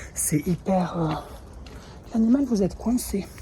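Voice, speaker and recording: A woman talks at a moderate pace. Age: 30s. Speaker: vlogger. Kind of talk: vlog. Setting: outdoors in the street. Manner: hesitant, many fillers.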